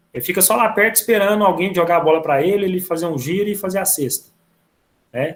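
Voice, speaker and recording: A man races along at a very fast pace, his voice high in pitch with ordinary variation. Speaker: physical education teacher. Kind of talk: online class lecture. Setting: video call.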